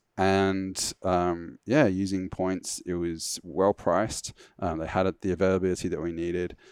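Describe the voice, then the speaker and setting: A man with a very deep, low pitch is heard in a dry, close sound with no echo on a very clean recording with a silent background. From England. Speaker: website founder. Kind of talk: casual interview. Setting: mock business class cabin at a training facility.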